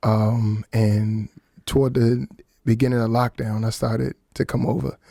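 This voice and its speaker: With an American accent, a man speaks at medium pitch with ordinary pitch variation and a dark, mellow tone in a dry, close sound with no echo. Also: fairly slow pace. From Washington, D.C. area, US. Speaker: singer and songwriter. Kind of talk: radio interview. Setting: radio studio.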